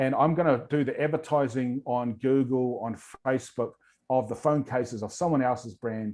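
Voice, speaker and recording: He speaks with a New Zealand accent. His voice is medium in pitch with a dark, mellow tone. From New Zealand, rural east coast of North Island. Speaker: entrepreneur and workshop presenter. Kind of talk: online workshop presentation. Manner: fast.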